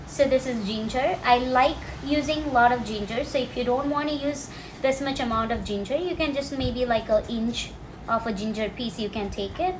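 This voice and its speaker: Amid audible room echo and noticeable background noise, a woman speaks at a high pitch and a moderate pace with ordinary pitch variation. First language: Malayalam. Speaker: cooking and language teacher. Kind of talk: cooking tutorial. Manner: casual, explanatory.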